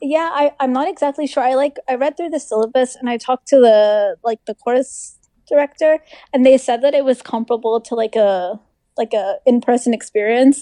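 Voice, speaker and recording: A woman with an American accent speaks at a moderate pace in a high, dark, mellow voice with ordinary pitch variation. The sound is dry and close, with no echo. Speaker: medical student. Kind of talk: casual chat. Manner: halting.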